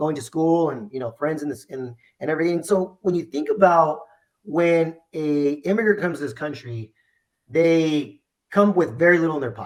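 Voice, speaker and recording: A man's fairly high voice with a Spanish accent and big swings in loudness. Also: ordinary pitch variation, moderate pace. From US, Mexican American family. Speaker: insurance agency owner. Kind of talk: interview. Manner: animated, repetitive restarts.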